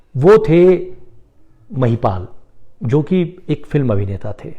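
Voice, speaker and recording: A man talks in a Marathi accent with a dark, mellow tone. His voice is somewhat breathy, with ordinary pitch variation. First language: Marathi (speaking Hindi). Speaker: poet and former journalist. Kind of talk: personal talk on Facebook live. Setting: Facebook live.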